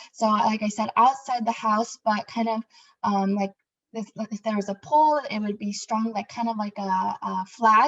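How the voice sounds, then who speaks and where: A woman's fairly high-pitched voice at a moderate pace. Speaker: interpreter. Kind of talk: interpreting. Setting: video call. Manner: hesitant, many fillers; louder than before.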